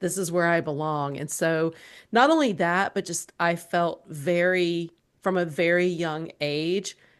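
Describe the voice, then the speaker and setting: Over a quiet background, a woman with a Southern US accent speaks at a fairly slow pace with a fairly low pitch. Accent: Southern US accent, less thick than before. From US South, South Georgia. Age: 50s. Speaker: entrepreneur and author. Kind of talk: podcast interview.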